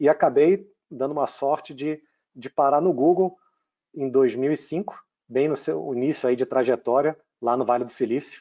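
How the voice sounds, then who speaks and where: Against a quiet background, a man with a Rio de Janeiro accent speaks in a fairly high pitch and a dark, mellow tone at a moderate pace, with ordinary pitch variation and long, frequent pauses. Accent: Rio de Janeiro (carioca). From Brazil, Rio de Janeiro. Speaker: tech company CEO. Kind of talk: interview.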